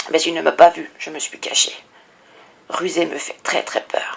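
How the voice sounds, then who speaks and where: In a put-on character voice, a woman whispers at a moderate pace. Her voice is raspy. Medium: read story.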